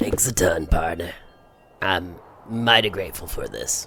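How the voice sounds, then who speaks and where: A man puts on a raspy character voice. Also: medium pitch for a man, moderate pace. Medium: audio drama. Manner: folksy, polite.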